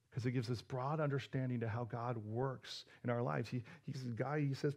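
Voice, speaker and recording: The speaker has an animated tone and sounds somewhat breathy. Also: man. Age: 40s. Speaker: pastor. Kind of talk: sermon.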